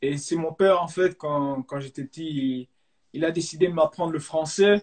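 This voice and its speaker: Fairly high-pitched, a man speaks at a moderate pace with fairly even intonation, in a dry, close sound with no echo. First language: Dutch (speaking French). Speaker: professional footballer. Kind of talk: live interview. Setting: online live stream. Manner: hesitant, many fillers.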